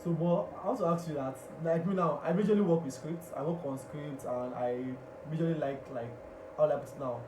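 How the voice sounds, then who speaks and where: A man talks at a fairly quick pace in a fairly high pitch with ordinary pitch variation, amid noticeable background noise. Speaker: radio host and public speaker. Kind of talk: radio talk show host interviewing a guest.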